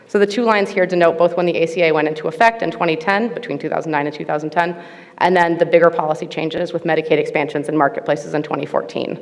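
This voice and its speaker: A woman with a fairly low pitch at a very fast pace, with hardly any pauses, ordinary pitch variation and noticeable background noise. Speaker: researcher presenting at a conference panel. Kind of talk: conference presentation.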